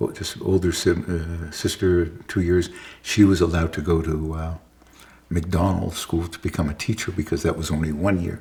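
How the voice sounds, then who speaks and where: A man with a very deep, low pitch speaks at a moderate pace in a dark, mellow tone. His intonation is monotone and flat, and his voice is somewhat breathy. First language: Yiddish. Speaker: interviewee recounting his life. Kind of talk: oral history interview. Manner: halting, many restarts and fillers.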